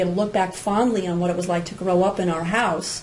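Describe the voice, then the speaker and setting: A woman talks at a very fast pace, with noticeable background noise and audible room echo. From New Jersey. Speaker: podcast co-host, parenting coach. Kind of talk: casual chat.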